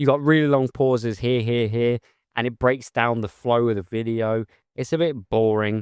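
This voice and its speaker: A man speaks at a moderate pace in a dry, close sound with no echo, on a very clean recording with a silent background. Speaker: YouTuber, parent. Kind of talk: casual direct-to-camera talk.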